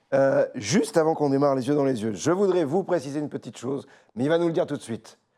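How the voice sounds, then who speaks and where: Talking very fast with lively intonation, a man speaks at a fairly high pitch. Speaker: interview host. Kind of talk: interview. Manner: hesitant, many fillers.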